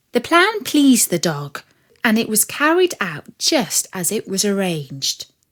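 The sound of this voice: A woman at a slow pace, her pitch swinging in big arcs. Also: medium pitch for a woman, fairly bright tone.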